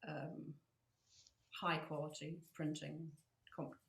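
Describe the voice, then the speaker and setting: A woman with a northern English accent speaks in a very deep, low voice. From northern England. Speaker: floral artist and podcast co-host. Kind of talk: casual chat. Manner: hesitant, many fillers.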